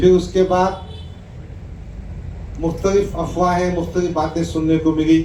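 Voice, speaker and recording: Against noticeable background noise and audible room echo, a man with a high pitch speaks in a monotone, flat intonation, with long, frequent pauses. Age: 60s. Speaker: politician. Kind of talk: public speech to a gathering; reading aloud an open letter.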